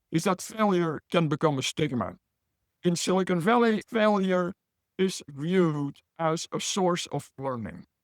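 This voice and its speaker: Recorded with a dry, close sound and no echo, the speaker talks at a fairly slow pace in a Belgian accent. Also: man, high pitch for a man, ordinary pitch variation. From Belgium. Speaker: business professor.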